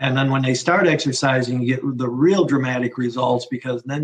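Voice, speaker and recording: Speaking at a fairly quick pace, a man talks at a medium pitch. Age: 60s. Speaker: physician. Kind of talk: interview. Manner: halting, many repeated words.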